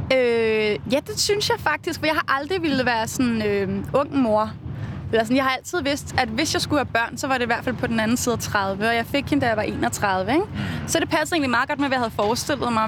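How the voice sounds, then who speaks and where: Over noticeable background noise, a woman talks at a fairly quick pace in a high voice, with ordinary pitch variation and very even loudness. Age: 30s. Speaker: musician. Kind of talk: casual chat. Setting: outdoors.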